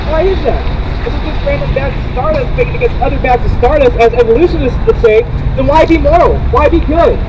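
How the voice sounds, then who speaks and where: A man speaks fairly quickly while noticeable noise sounds in the background. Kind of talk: street preaching, evangelistic sermon to passersby. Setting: outdoors, street corner.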